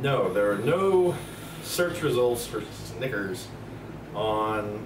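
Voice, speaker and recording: A man of medium pitch with an American accent and lively intonation, amid audible room echo and noticeable background noise. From US South, Tennessee. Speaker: co-host. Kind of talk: casual chat.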